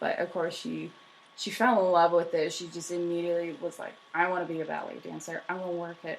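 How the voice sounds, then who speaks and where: A woman's mumbling, fairly quick speech in a flat monotone. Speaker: history podcast co-host. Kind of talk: casual chat.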